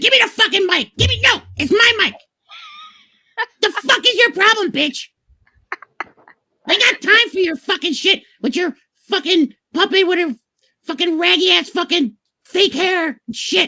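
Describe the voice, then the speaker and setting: Using a put-on character voice at an extremely high pitch, a woman talks at a moderate pace with long, frequent pauses. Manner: aggressive, mocking.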